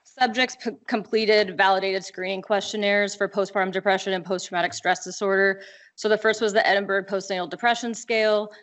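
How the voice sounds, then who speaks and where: A woman with an American accent at a very fast pace, monotone and flat, with hardly any pauses. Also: medium pitch for a woman. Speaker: medical researcher presenting study. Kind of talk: conference research presentation.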